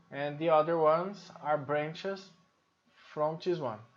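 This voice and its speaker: A man with a Brazilian Portuguese accent, at a very slow pace. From Brazil, Sao Paulo. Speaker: software trainer. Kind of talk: tutorial. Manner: hesitant, many fillers.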